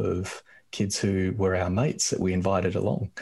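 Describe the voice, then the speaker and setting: On a very clean recording with a silent background, a man with an Australian accent speaks in a very deep, low pitch with monotone, flat intonation. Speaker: activist. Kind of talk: casual chat.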